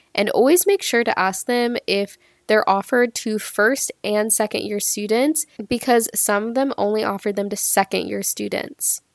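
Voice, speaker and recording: A woman speaks in a normal speaking voice at a fairly high pitch, with ordinary pitch variation and a moderate pace. The sound is dry and close, with no echo. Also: very clean recording, silent background. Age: 20s. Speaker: podcast host and epidemiologist. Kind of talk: solo educational podcast monologue. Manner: casual, chatty.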